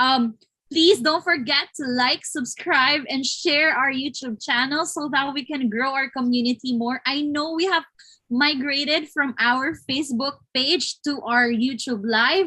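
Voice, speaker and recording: With a Filipino accent, a woman talks at a fairly slow pace. Her voice is high-pitched, bright and sharp in tone, and raised and projected. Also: ordinary pitch variation. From Philippines. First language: Tagalog. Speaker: webinar host. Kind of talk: live interview. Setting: online live stream.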